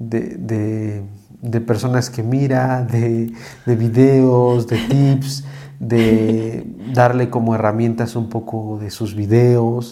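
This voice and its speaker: With audible room echo, a man speaks very slowly in a monotone, flat intonation. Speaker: psychologist, host's husband. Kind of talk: casual chat.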